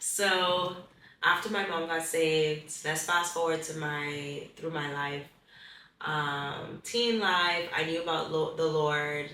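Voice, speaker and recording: Against noticeable background noise and audible room echo, a woman talks at a very slow pace with a fairly low pitch and fairly even intonation. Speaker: pageant contestant. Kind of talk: testimony. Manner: halting.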